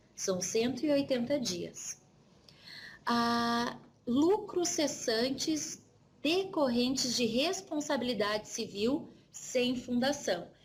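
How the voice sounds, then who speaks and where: With a southern Brazilian accent, a woman speaks in a high pitch at a very slow pace, her intonation lively and her loudness very even. Audible room echo fills the recording. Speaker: insurance trainer. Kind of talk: lecture. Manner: conversational.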